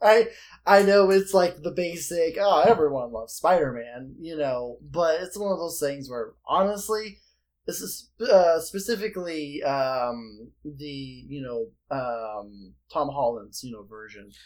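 In a very clean recording with a silent background, a man with an American accent speaks at a fairly slow pace in a fairly high voice, with very wide pitch swings and big swings in loudness. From northern US. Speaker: podcast guest. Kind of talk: casual chat.

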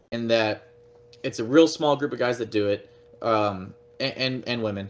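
In an American accent, the speaker talks with ordinary pitch variation against noticeable background noise. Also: man. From Texas, Fort Worth. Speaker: pro paintball player and anodizing shop owner. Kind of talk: casual interview.

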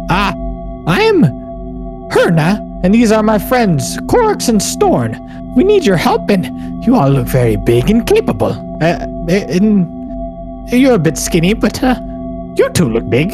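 Over loud music in the background, a man does a raspy, put-on character voice at a fairly slow pace. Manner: pleading, friendly.

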